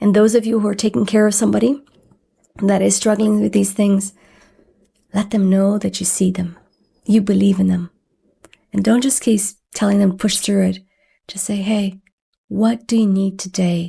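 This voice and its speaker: A woman speaks at a moderate pace in a medium pitch with a dark, mellow, somewhat breathy tone. Her intonation is monotone and flat, with long, frequent pauses. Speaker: podcast host living with chronic illness. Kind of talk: heartfelt solo talk.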